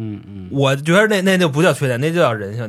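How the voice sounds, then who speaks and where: At a very fast pace, a man speaks in a fairly high voice with very wide pitch swings. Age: 30s. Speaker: podcast co-host. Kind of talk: casual chat.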